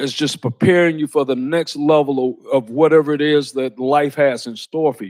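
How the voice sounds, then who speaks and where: A man with a Georgia accent, fairly high-pitched, at a moderate pace with fairly even intonation, in a dry, close sound with no echo. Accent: Southern US (Georgia). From US South, Lawrenceville, Georgia. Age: 60s. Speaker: sheriff. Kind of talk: motivational talk. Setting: college speaking event with audience. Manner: casual, conversational.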